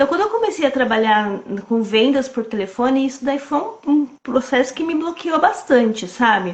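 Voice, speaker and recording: A woman talks at a moderate pace in a high voice with lively intonation. Her tone stays calm. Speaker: sales coach. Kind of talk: casual chat. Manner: calm, clear speech.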